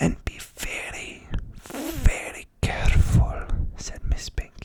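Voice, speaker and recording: Whispering, a man speaks over noticeable background noise. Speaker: ASMR creator. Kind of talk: bedtime story reading, ASMR. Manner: soft-spoken, whispered, slow.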